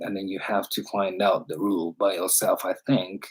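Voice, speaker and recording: This man has a Japanese accent. The recording is very clean, with a silent background. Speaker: English teacher livestreamer. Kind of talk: casual chat. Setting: livestream. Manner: halting.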